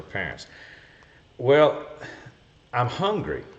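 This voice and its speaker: The man sounds somewhat breathy. His intonation is lively. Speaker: golf cart repair show host. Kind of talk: live stream Q&A. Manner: fast.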